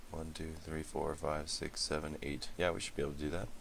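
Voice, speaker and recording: A man's monotone, flat delivery at a fairly quick pace, with audible room echo. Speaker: gaming commentator. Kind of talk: gameplay commentary.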